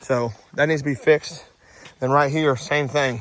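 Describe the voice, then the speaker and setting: Speaking in a Southern US accent, a man's voice sits fairly high. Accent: Southern US rural. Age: 30s. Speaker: dirt contractor. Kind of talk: on-site tutorial. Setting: outdoors on a job site. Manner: casual, animated.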